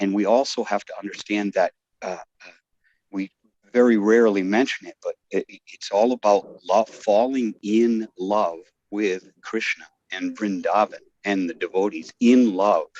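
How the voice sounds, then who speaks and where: In a dry, close recording with no echo, a man speaks at a fairly slow pace and fairly low pitch, his loudness swinging widely. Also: fairly even intonation. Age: 60s. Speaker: devotee sharing in a scripture class. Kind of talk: class discussion testimony. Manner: halting, many fillers and restarts.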